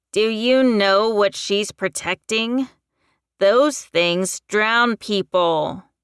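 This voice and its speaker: On a very clean recording with a silent background, a woman uses a put-on character voice at a medium pitch and a very slow pace. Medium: read story. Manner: cold, contemptuous.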